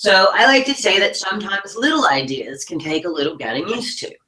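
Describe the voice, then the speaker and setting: With a Southern US accent, a woman speaks in very wide pitch swings. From US South. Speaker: online marketing business owner. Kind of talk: webinar presentation.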